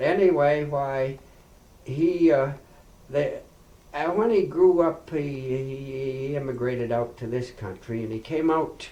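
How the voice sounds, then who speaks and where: In a western Canadian accent, a man speaks at a fairly slow pace with a fairly high pitch and ordinary pitch variation. Audible room echo is present. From Princeton, BC, Canada. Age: 70s. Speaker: oral history interviewee. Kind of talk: oral history interview. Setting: farmhouse. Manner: halting.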